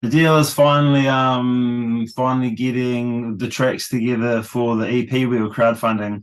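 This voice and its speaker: At a moderate pace and medium pitch, a man with a New Zealand accent speaks in a monotone, flat way against a quiet background. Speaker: rock vocalist. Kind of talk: casual interview.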